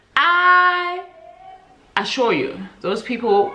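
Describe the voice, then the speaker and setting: Audible room echo and noticeable background noise fill the recording. A woman's voice moves in very wide pitch swings. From South Africa. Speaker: book vlogger. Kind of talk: casual vlog chat. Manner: relaxed, chatty.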